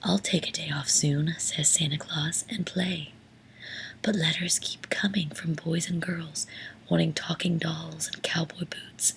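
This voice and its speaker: Someone whispers at a fairly slow pace. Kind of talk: whispered bedtime story reading. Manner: whispered, soft-spoken.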